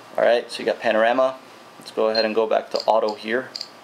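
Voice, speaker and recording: Noticeable background noise sits under a man talking at a very fast pace. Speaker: tech reviewer. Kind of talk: product review tutorial. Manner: casual.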